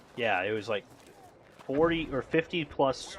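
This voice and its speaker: A man speaks with an American accent and lively intonation over noticeable background noise. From US South. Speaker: gaming streamer. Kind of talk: casual live stream chat with gameplay. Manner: halting, many fillers.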